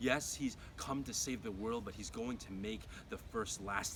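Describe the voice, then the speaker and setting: A man's voice over noticeable background noise. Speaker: spoken word poet. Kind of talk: poetry slam performance.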